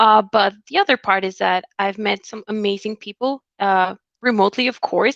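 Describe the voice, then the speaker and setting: A woman with a Spanish accent at a medium pitch and moderate pace, her intonation monotone and flat, on a dry, close sound with no echo and a quiet background. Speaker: recruiter. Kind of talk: interview.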